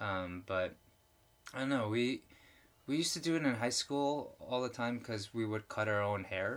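On a very clean recording with a silent background, a man with an unremarkable speaking voice holds a medium pitch and a moderate pace, his pitch varying in an ordinary way. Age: 40s. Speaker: podcast co-host, filmmaker. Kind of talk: casual chat.

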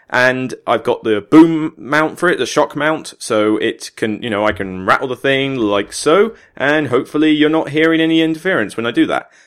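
In a Somerset accent, a man talks at a moderate pace with few pauses and a medium pitch. His tone is clear and smooth, with ordinary pitch variation. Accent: Somerset, south-west England.

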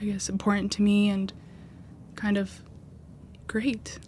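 The voice is somewhat breathy and monotone, with flat intonation. It moves at a fairly slow pace. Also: woman. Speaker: college student. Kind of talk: interview testimony.

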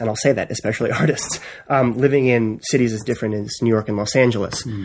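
Speaking with an American accent, a man talks at a fairly quick pace. His pitch is medium and his intonation fairly even. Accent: East Coast American, shows when speaking fast. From US East Coast. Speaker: writer. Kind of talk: casual chat. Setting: studio.

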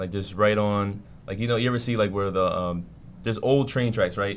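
A man speaks with an American accent at a moderate pace. He has a normal speaking voice with a fairly low pitch. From New York (Queens) and New Jersey. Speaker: rapper. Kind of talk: interview.

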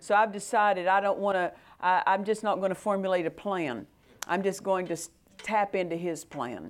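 At a moderate pace, a woman talks in a normal speaking voice at a medium pitch with ordinary pitch variation. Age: 50s. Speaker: preacher. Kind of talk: sermon.

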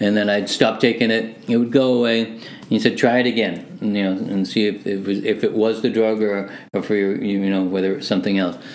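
Speaking fairly quickly, a man uses a plain, everyday voice with fairly low pitch and fairly even intonation. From Hamilton, Ontario, Canada (born Manchester, England). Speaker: music producer. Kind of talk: casual interview chat.

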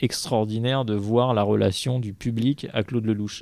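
A man's dark, mellow tone, fairly low in pitch, with fairly even intonation at a moderate pace. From Paris. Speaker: film festival programmer. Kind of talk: casual chat.

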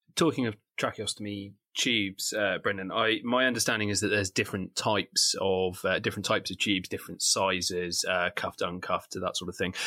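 On a very clean recording with a silent background, a man with an unremarkable speaking voice talks at a fairly low pitch. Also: fairly even intonation, fairly quick pace. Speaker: paramedic. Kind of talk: educational podcast.

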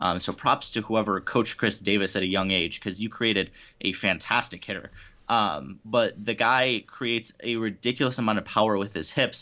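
Using a plain, everyday voice, a man talks at a moderate pace with a fairly low pitch. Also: ordinary pitch variation. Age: 20s. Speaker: baseball writer and podcast host. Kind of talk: casual interview.

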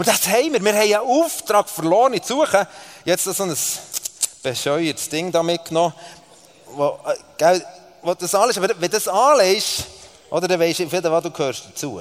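A high-pitched man with a Swiss accent, animated tone and lively intonation, at a fairly quick pace yet with long, frequent pauses, over noticeable background noise. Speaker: preacher. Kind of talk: sermon.

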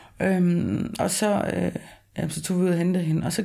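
Over a silent background in a very clean recording, a woman speaks at a medium pitch and a fairly slow pace. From rural Denmark. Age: 30s. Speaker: interviewee, former heavy drinker. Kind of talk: personal testimony. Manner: halting.

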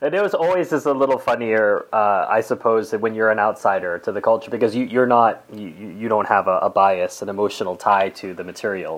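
A man speaks in an unremarkable speaking voice at a medium pitch with ordinary pitch variation. His pace is fairly quick, with hardly any pauses. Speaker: podcast host. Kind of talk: interview.

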